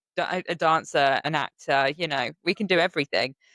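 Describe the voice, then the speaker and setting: A woman with a British accent and a very deep, low pitch. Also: dry, close sound with no echo, very clean recording, silent background. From Britain. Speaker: podcast host. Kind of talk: interview. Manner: casual.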